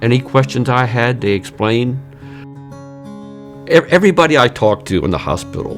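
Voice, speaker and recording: Music plays in the background as a man speaks at a moderate pace, his pitch swinging very widely. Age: 60s. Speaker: heart attack survivor, patient. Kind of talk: interview answer.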